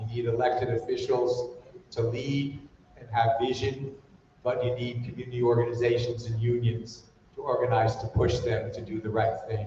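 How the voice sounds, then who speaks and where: A man's monotone, flat delivery at a medium pitch, with audible room echo. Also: moderate pace. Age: 70s. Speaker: community organizer panelist. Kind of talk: panel discussion.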